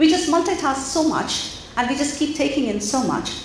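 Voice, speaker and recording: Over noticeable background noise and audible room echo, a woman speaks in an animated tone. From India. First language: Indian language (not English). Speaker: mindfulness coach. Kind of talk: interactive talk to parents. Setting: auditorium with audience.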